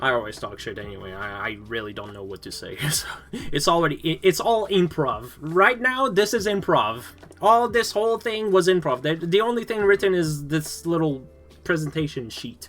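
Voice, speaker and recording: A man with a Quebec accent speaks at a moderate pace in a high pitch, his loudness swinging widely. His pitch rises and falls sharply over noticeable background noise. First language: French. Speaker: vtuber streamer. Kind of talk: live stream debut presentation, improvised. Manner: halting, stammering.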